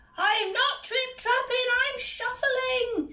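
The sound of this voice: Using a put-on character voice at an extremely high pitch, a woman speaks at a very slow pace.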